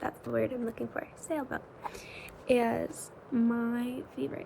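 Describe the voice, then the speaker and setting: Quiet whispering from a woman. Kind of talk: ASMR whispered chat to camera. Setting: home bedroom at night with rain sounds. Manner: quiet, whispered.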